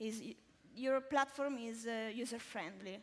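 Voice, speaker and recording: Speaking fairly slowly, a woman with an Italian accent uses a fairly high pitch. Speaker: interviewer. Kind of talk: interview on stage.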